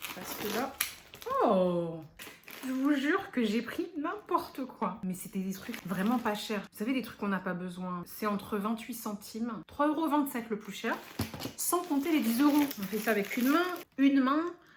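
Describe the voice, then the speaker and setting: A woman speaks at a fairly high pitch with very wide pitch swings, and noticeable background noise is present. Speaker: beauty and lifestyle YouTuber. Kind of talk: unboxing vlog. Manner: animated.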